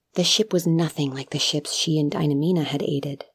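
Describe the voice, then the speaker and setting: Her voice is somewhat breathy and fairly low in pitch. The woman speaks at a fairly slow pace with ordinary pitch variation. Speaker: audiobook narrator. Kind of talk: dramatic narration of a fantasy short story, reading aloud. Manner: measured, hushed and lyrical, with a somber, wistful tone.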